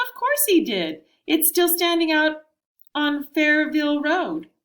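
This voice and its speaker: A woman does a put-on character voice that is squeaky and extremely high. She delivers it at a fairly slow pace. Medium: read story. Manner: folksy, repeats "yes, ma'am".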